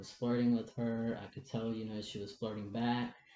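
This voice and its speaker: This voice has a dark, mellow tone. It moves at a fairly quick pace. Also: man. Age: 20s. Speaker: interview guest, transgender man. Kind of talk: personal testimony. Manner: halting.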